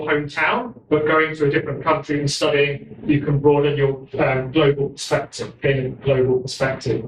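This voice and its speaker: Over noticeable background noise, a man with a southern English accent speaks at a moderate pace and a fairly high pitch. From London, England. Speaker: university college administrator. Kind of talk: speech.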